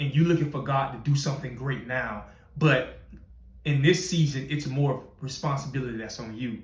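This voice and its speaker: A somewhat breathy male voice with audible room echo. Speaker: podcast host, motivational speaker. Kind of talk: motivational talk.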